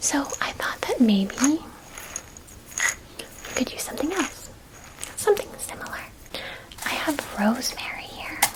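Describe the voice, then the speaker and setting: Whispering in a gentle tone, a woman speaks fairly slowly with long, frequent pauses and big swings in loudness, against noticeable background noise. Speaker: ASMR roleplay performer playing a forest druid. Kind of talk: ASMR roleplay, educational history talk. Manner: whispered, gentle, soft-spoken.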